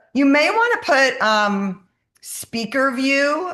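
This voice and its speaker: A woman's voice moves through very wide pitch swings. The background is quiet. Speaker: health coach running a sourdough workshop. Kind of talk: online workshop. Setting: video call. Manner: fast.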